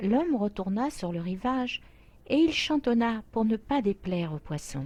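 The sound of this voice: Intonation here is lively. The delivery is an unforced reading voice.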